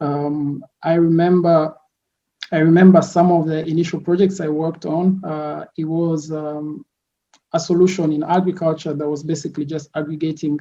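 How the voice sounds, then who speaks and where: A man speaks at a moderate pace in a fairly high voice, with a dark, mellow tone. His intonation stays flat and monotone. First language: French. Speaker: product designer, entrepreneur. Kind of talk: podcast interview. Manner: hesitant, many fillers.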